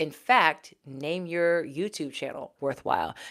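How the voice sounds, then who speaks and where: An animated voice with an American accent, very clean recording with a silent background. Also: woman. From Texas, Houston. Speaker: YouTuber, former news anchor. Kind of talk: livestream chat. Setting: home office.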